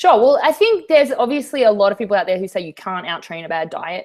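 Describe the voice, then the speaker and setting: A woman with an American accent, fairly quick in pace, her pitch swinging very widely. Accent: Australian, slight New York tinge. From Australia. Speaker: fitness trainer. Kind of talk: interview. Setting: video call.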